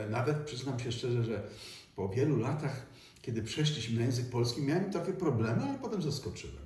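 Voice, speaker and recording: A man talks fairly quickly at a medium pitch with ordinary pitch variation. Audible room echo surrounds his voice. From Poland, Silesia (Katowice). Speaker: stage actor. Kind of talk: interview. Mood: reflective, warm reminiscing. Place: home room.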